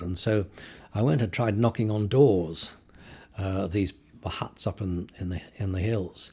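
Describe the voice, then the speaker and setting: A somewhat breathy voice with a dark, mellow tone. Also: man. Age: 70s. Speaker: photojournalist. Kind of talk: interview conversation. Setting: in-person interview. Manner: hesitant, with repetitions.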